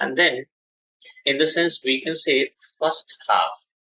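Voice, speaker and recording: Very slowly, a man talks in a fairly high pitch with vocal fry. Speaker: online software trainer. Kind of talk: live online class.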